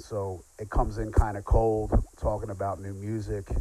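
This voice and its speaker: Audible room echo surrounds a man with an American accent whose fairly low voice has a dark, mellow tone at a moderate pace. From Philadelphia. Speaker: podcast host. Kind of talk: scripted narration; casual chat.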